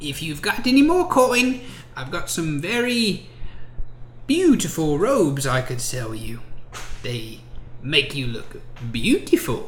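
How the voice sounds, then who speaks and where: A put-on character voice speaks at a middle pitch and a fairly slow pace. Background noise is clearly audible. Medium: actual play. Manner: sweet yet mercenary, haggling.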